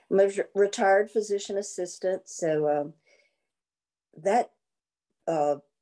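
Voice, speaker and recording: Fairly slow delivery with a dark, mellow tone, ordinary pitch variation, and long, frequent pauses. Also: woman, medium pitch for a woman. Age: 70s. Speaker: retired physician assistant. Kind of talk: self-introduction in a video meeting.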